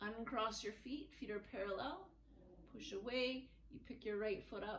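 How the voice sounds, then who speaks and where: Audible room echo and light background noise surround a woman's voice. She talks at a fairly slow pace with ordinary pitch variation. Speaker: fitness instructor. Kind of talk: guided floor movement class with relaxation cues. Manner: calm, clear, step-by-step instructions in an even, soothing pace; soft and gentle when guiding relaxation. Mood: calm, gentle. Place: home room. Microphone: camera far.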